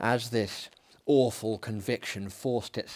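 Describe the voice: The recording is plain reading aloud.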